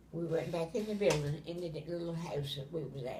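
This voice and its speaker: Somewhat breathy, a woman speaks at a fairly low pitch with ordinary pitch variation. Her pace is moderate. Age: 80s+. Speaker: grandmother telling family memories. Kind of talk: storytelling, casual family conversation. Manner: casual, frank.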